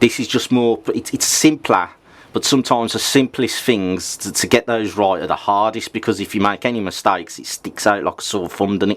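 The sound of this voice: The tone is fairly bright. The pace is moderate. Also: man.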